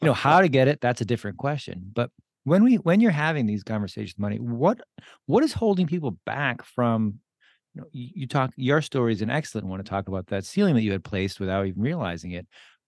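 Against a quiet background, a man at medium pitch talks at a very fast pace with very wide pitch swings. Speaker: podcast host. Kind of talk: interview.

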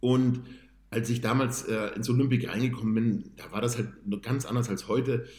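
Somewhat breathy and monotone with flat intonation, a man speaks at a moderate pace and medium pitch amid audible room echo. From northern Germany, Hamburg-Bergedorf. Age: 30s. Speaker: amateur bodybuilder. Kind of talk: casual interview.

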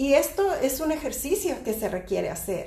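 Against noticeable background noise and audible room echo, a woman speaks at a fairly slow pace. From Mexico. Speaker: podcast host, spiritual teacher. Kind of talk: casual chat on spirituality.

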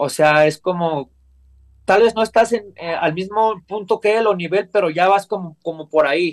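A man with a high voice speaks at a moderate pace, varying his pitch in an ordinary way. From Mexico, Coacalco, State of Mexico. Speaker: professional wrestler. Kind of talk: interview. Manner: halting, frequent repetitions.

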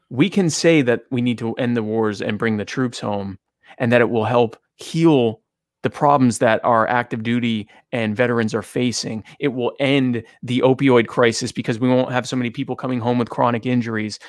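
A man with a normal speaking voice at medium pitch is heard on a very clean recording with a silent background. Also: fairly even intonation, moderate pace. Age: 30s. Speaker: vice presidential candidate. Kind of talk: interview.

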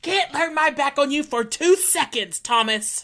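A put-on character voice, female-sounding and high in pitch, shouts. The pace is moderate. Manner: scolding, yelling.

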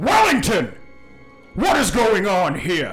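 A man does a put-on character voice at a high pitch. He speaks at a fairly slow pace with clear music in the background. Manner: commanding, demanding.

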